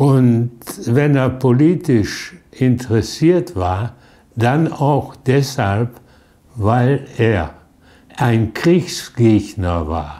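Speaking at a very slow pace, a man has a dark, mellow tone. His intonation is lively, and he takes long, frequent pauses. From Duisburg, Germany. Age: 80s+. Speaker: contemporary witness, son of resistance fighter. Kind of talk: interview answer. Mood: reflective, recalling his father. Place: home room. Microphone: lapel.

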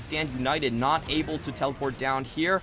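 With music in the background, a man speaks in an energetic tone. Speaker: esports commentator. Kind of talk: live esports commentary. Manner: energetic, quick play-by-play.

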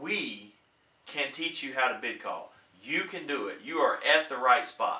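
Audible room echo carries the upbeat tone of a man talking at a fairly slow pace. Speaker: auctioneer and bid-calling instructor. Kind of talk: casual talk to camera, promotional pitch. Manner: upbeat, encouraging. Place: home room.

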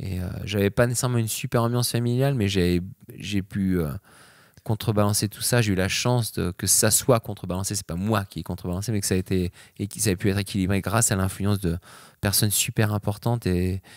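A fairly low-pitched male voice at a fairly quick pace, with fairly even intonation, dry sound with no echo and a quiet background. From France. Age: 30s. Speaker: extreme sports athlete; interview guest. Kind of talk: interview. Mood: relaxed, reflective. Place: home room. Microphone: handheld.

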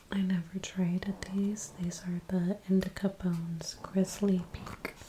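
Amid light background noise, a soft-spoken woman speaks in a relaxed tone at a fairly slow pace. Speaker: ASMR creator. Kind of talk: soft-spoken ASMR talk to camera. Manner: soft-spoken, relaxed. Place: home room. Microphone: studio mic.

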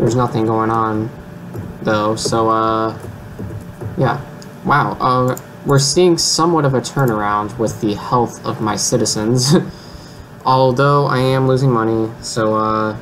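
Against light background noise, a man talks at a fairly slow pace with long, frequent pauses and ordinary pitch variation. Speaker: gamer. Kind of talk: casual gameplay commentary. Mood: overwhelmed, mildly amused. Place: home room.

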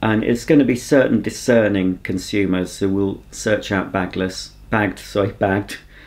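In an ordinary speaking voice, a man with a fairly low pitch talks at a moderate pace with fairly even intonation. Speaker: home video creator. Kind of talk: casual vlog chat, Q&A answer. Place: home room.

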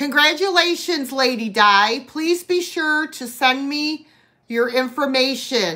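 Quiet surroundings frame a woman's raised, projected voice, high in pitch and bright and sharp in tone, moving at a very slow pace with lively intonation. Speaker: live sale host. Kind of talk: live online sale with auctioneer-style bidding. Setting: live stream video. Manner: chatty, friendly. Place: home room. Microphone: phone near.

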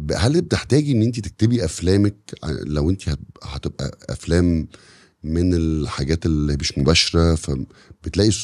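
In a very clean recording with a silent background, the speech comes at a fairly slow pace with ordinary pitch variation. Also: man, very deep, low pitch for a man. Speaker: podcast host. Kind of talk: casual interview chat.

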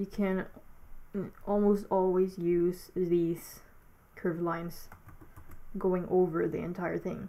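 A woman with a non-native accent speaks very slowly with long, frequent pauses. Her medium-pitched voice has a dark, mellow tone and monotone, flat intonation. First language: not English. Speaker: digital artist making a tutorial. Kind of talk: narrated tutorial. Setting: alone at home, voiceover recording. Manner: halting, hesitant, with filler words.

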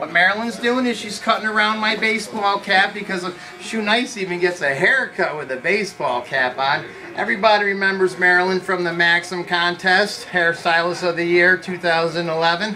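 A man speaks in a raised, projected voice with ordinary pitch variation. Faint music sits in the background. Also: moderate pace. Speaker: stunt video host. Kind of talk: casual vlog chat. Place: shop.

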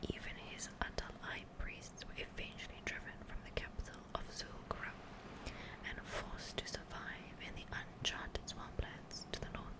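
The speaker is whispering. There are hardly any pauses. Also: woman, moderate pace. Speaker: ASMR gaming streamer. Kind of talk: ASMR lore book reading, storytelling narration. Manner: whispered, soft. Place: home room. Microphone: studio mic.

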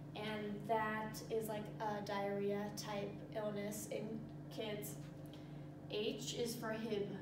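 Loud background noise and audible room echo surround a woman who talks at a very slow pace with ordinary pitch variation. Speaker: presenter. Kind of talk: tutorial. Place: classroom. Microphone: camera far.

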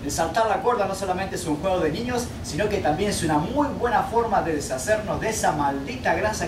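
A man talks fairly quickly while noticeable noise fills the background. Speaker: fitness trainer. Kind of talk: tutorial. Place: open country. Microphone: camera far.

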